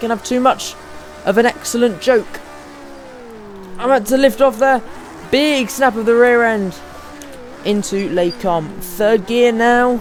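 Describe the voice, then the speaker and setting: A fairly slow pace with long, frequent pauses over noticeable background noise. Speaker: sim racing gamer. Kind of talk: gameplay commentary. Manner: loud; animated.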